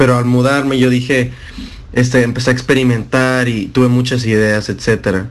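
Monotone, flat speech from a man at medium pitch and moderate pace, with audible room echo. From Monterrey, Mexico. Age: 20s. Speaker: electronic music producer and DJ. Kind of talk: radio interview.

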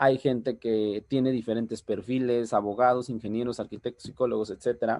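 A man's dark, mellow voice at medium pitch, fairly quick and monotone, with hardly any pauses, over a quiet background. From Oaxaca, Mexico. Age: 30s. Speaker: network marketing leader. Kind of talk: motivational training talk. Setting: video call.

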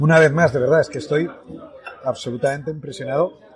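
Noticeable background noise sits behind a man talking at a fairly quick pace with a fairly high pitch. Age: 40s. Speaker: podcast host, entrepreneur. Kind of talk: casual interview over lunch. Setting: restaurant.

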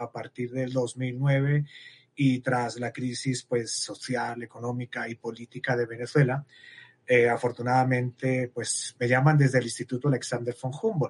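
Somewhat breathy and monotone, a man speaks at a fairly slow pace with a flat intonation in a dry, close sound with no echo. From Spain, Madrid. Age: 50s. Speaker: biologist researcher. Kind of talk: interview.

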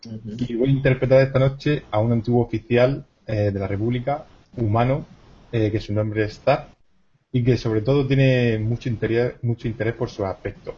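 Speaking at a moderate pace, a man uses a medium pitch, a somewhat breathy voice and fairly even intonation. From Cartagena, Spain. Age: 30s. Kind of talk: role-play game session.

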